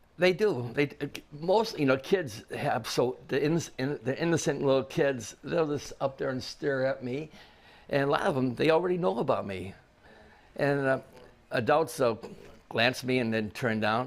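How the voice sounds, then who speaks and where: A man with a Chicago accent, fairly high in pitch, lively intonation, and a moderate pace. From Chicago area. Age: 70s. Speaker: baseball fan. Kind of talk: interview answer.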